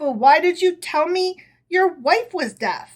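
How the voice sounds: A woman's squeaky, put-on character voice, extremely high-pitched, with lively intonation and a fairly slow pace.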